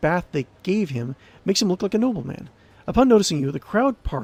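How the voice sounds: The reading voice here sounds natural.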